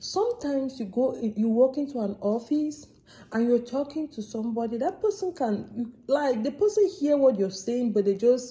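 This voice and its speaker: A somewhat breathy voice with a dark, mellow tone and an African accent, at a moderate pace with ordinary pitch variation. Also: woman. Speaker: vlogger. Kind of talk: casual vlog monologue. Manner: animated.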